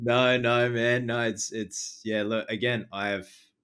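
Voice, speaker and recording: A man with an Australian accent speaks at a fairly slow pace in a bright, sharp tone. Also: very clean recording, silent background. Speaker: horror film reviewer. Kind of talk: casual chat. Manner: stutters, words trip over each other.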